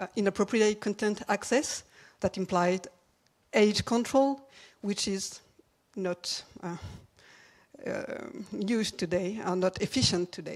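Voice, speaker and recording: A woman with a French accent at a medium pitch, with long, frequent pauses. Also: ordinary pitch variation, fairly slow pace. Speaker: commission co-chair presenting a report. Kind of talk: conference presentation. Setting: conference stage with audience. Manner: halting.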